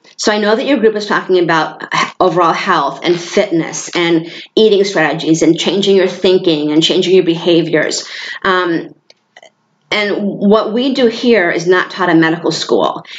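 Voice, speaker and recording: Medium-pitched female voice in an American accent, pitch varying in an ordinary way. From New York State. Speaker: hormone therapy business owner. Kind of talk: informal presentation to a group. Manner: fast.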